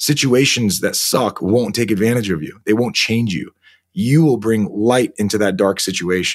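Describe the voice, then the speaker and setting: A man with an American accent speaks in a plain, everyday voice at a fairly low pitch and a moderate pace, with lively intonation. The recording is very clean, with a silent background. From United States. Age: 30s. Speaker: army veteran and author. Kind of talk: interview.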